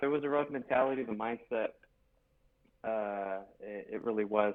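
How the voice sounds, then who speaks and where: Speaking in a Spanish accent, a man's voice sits fairly low in pitch. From US West, Los Angeles, California. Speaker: podcast guest. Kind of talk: casual chat.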